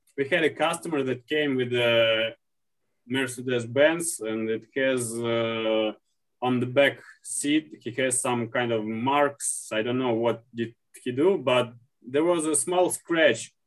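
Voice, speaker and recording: A man with a Russian accent speaks at a very slow pace. His pitch is medium, with ordinary pitch variation. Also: long, frequent pauses. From Russia, St. Petersburg. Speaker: leather and shoe repairer. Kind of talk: interview. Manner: halting.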